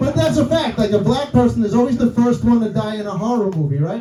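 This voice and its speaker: Amid noticeable background noise and audible room echo, a man with a New York accent speaks high-pitched at a fairly quick pace, his pitch swinging very widely. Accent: old school New York. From New York City. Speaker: comedian. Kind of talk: stand-up. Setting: stage with audience.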